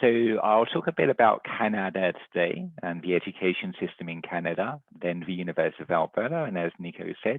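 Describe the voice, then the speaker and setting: Very deep and low in pitch, a man speaks with an English accent. His pace is fairly quick and his intonation lively. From England, London. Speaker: university recruitment director. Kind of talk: presentation. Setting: video call.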